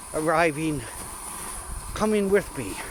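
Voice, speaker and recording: A man with a high pitch and ordinary pitch variation at a very slow pace, amid noticeable background noise. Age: 70s. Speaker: vlogger on rural walks. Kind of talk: casual vlog narration while walking. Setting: outdoors in snowy woodlot. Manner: relaxed, with filler words.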